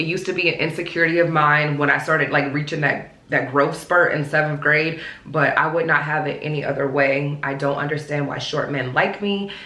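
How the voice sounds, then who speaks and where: Against noticeable background noise and audible room echo, a woman with an American accent talks at a fairly quick pace with hardly any pauses, her very deep, low voice flat and monotone. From US South, Charlotte, North Carolina. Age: 30s. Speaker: lifestyle vlogger. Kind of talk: casual Q&A vlog. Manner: casual, chatty.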